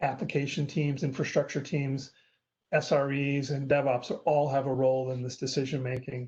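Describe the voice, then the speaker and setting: Somewhat breathy, a man speaks with a monotone, flat intonation. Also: quiet background. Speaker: industry analyst giving a webinar talk. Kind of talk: webinar presentation. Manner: fast.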